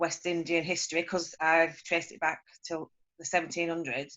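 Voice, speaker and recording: A woman speaks with a strong Lancashire accent. Her pitch is fairly low and her pace fairly quick. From northern England, Preston, Lancashire. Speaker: meeting participant. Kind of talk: casual introduction on video call. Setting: video call.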